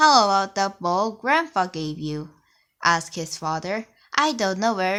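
A natural voice reads the text out loud.

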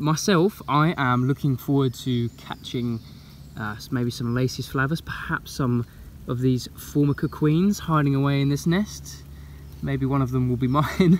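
The pace is moderate, with ordinary pitch variation. The sound is dry with no echo, over light background noise. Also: man. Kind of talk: casual vlog chat. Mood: enthusiastic. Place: forest. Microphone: phone near.

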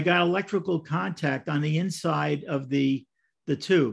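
With an American accent, a man talks over a quiet background. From US Northeast, Brooklyn. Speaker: model railroad clinic presenter. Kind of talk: presentation. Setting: video call. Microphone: video call.

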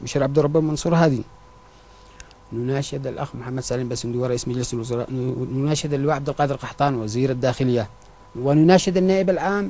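Moving at a fairly quick pace, a plain, everyday voice shows ordinary pitch variation. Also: man, medium pitch for a man. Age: 30s. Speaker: surgical nurse, victim of abuse. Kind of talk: testimony.

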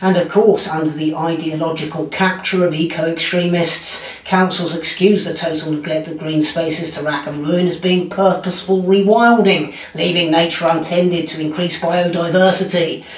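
Over audible room echo, a man talks at a moderate pace in a high pitch, his intonation monotone and flat. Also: hardly any pauses. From Britain. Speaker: comedian. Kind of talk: commentary monologue. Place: home room.

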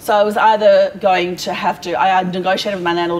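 Over light background noise, a woman with an Australian accent speaks at a fairly quick pace and a fairly low pitch. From Perth, Western Australia; Western Australia. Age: 40s. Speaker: small business owner; guest. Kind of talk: casual interview. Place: hall.

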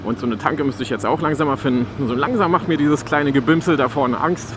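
The speech comes at a fairly quick pace with ordinary pitch variation, and the background noise is clear. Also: man, fairly high pitch for a man.

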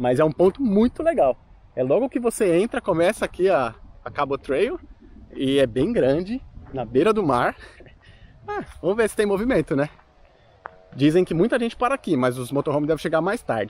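Through a dry sound with no echo, a man speaks at a high pitch with very wide pitch swings. His pace is moderate, with long, frequent pauses. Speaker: travel vlogger. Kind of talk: casual vlog chat. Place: open country. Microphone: phone near.

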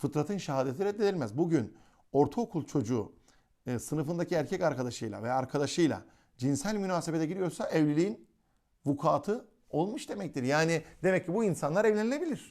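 Fairly high in pitch, a man speaks quickly in an unremarkable speaking voice with lively intonation, keeping a fairly quick pace. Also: very clean recording, silent background. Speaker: Islamic religious teacher. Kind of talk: lecture.

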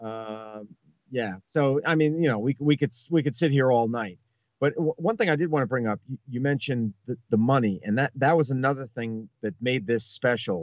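At a moderate pace, a man speaks with ordinary pitch variation in a dry sound with no echo against a quiet background. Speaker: podcast guest. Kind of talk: casual podcast talk. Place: home room.

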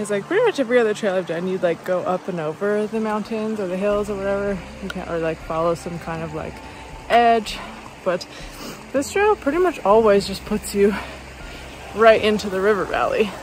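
Here a woman talks at a fairly quick pace, with ordinary pitch variation. The sound is dry with no echo, over light background noise. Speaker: long-distance hiker vlogger. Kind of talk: casual vlog chat. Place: open country. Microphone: phone near.

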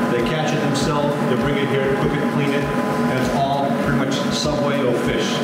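A man's voice over clear music in the background, with audible room echo. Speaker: travel vlogger. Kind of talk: casual vlog chat. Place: cafe.

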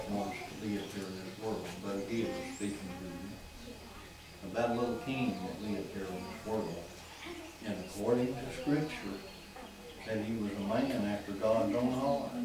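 A man talks at a fairly slow pace with ordinary pitch variation, his voice carrying audible room echo over noticeable background noise. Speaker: preacher. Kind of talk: sermon. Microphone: camera far.

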